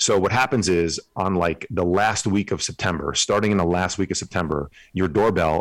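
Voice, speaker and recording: Very deep and low, a man's voice with an American accent moves at a moderate pace with ordinary pitch variation on a very clean recording with a silent background. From northern New Jersey, Bergen County. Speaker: men's coach, former finance worker. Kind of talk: casual interview chat.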